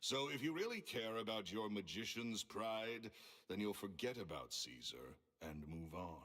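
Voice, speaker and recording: A booming man's voice sits fairly low in pitch and has a bright, sharp tone. He speaks at a fairly slow pace with lively intonation. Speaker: video game character. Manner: curt, dismissive.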